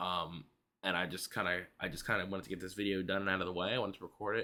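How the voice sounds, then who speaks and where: A man talks quietly at a very fast pace. His tone is bright and sharp, his pitch fairly low. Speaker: YouTuber, movie reviewer. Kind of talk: casual vlog review. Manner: hesitant, many fillers.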